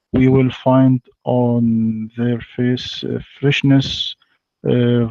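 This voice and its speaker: Speaking very slowly with an Arabic accent, a man has a dark, mellow tone in a dry, close recording with no echo. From Egypt. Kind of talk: debate. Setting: online voice chat. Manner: halting.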